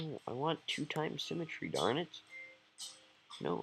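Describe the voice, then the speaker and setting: A man speaks with music playing in the background. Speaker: gaming video creator. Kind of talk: gameplay commentary. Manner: dull, low-energy.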